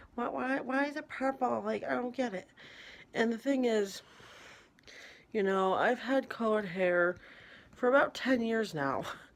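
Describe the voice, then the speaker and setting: Quiet and fairly high-pitched, a woman speaks fairly slowly with lively intonation and long, frequent pauses. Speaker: vlogger. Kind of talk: casual monologue. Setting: at home in an apartment at night.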